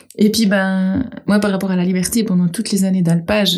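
A woman with a normal speaking voice talks at a moderate pace, her medium pitch carried by fairly even intonation. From Geneva, Switzerland. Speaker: goat farmer. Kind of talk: casual chat.

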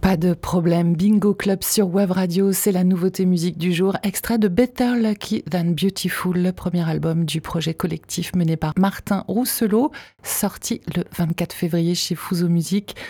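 In a very clean recording with a silent background and a dry, close sound with no echo, a woman speaks at a medium pitch and a fairly slow pace, her somewhat breathy voice dark and mellow in tone, with hardly any pauses, very even loudness and fairly even intonation. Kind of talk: radio dj patter: back-announcing the track, plugging the album, teasing tomorrow. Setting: studio. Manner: brisk, polished, friendly radio-announcer delivery.

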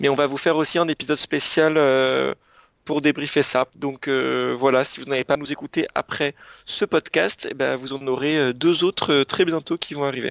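Here a man uses a normal speaking voice at a fairly high pitch and a moderate pace. His intonation is fairly even, and the sound is dry and close with no echo. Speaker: podcast co-host.

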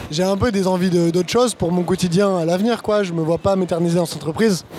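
Over noticeable background noise, a high-pitched man talks at a fairly quick pace. His intonation stays fairly even. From France, Bordeaux. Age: 20s. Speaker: supply chain consultant. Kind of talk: casual interview chat.

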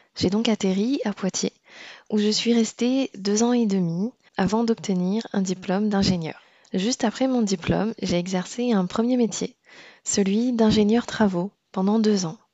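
A woman in an ordinary speaking voice, fairly slow in pace, with fairly even intonation. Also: medium pitch for a woman. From Réunion. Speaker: podcast host, engineer. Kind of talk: scripted narration.

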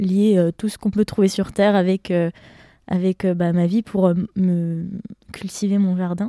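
A woman's dark, mellow voice at medium pitch, fairly slow and monotone with flat intonation, in a very clean recording with a silent background and a dry, close sound with no echo. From Besançon, Franche-Comté, France. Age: 20s. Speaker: tourism master's student. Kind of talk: casual chat.

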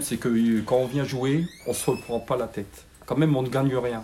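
A man's somewhat breathy voice at a moderate pace. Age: 60s. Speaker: retired refinery worker, club committee member. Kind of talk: interview.

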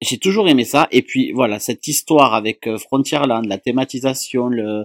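A man's medium-pitched voice varies in an ordinary way. Everything sounds dry and close, without echo. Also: very clean recording, silent background. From southern France. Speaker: YouTube vlogger. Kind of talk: casual chat.

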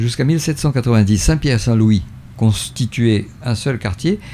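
A man speaks at a very slow pace in a medium pitch, somewhat breathy. His tone is dark and mellow, with lively intonation. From Brazil. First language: not French (German/Spanish/Portuguese) (speaking French). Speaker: local historian. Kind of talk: radio interview. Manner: halting, many repetitions.

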